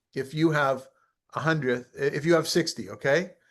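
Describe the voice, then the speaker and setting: Over a quiet background, a man speaks in a fairly high pitch. His intonation stays fairly even. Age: 60s. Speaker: rabbi teaching a study group. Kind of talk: online study class.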